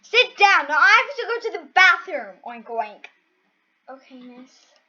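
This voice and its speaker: Putting on a character voice at an extremely high pitch, a woman talks at a moderate pace with very wide pitch swings. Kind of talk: comic overacting. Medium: solo performance. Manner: interrupts self with oinks.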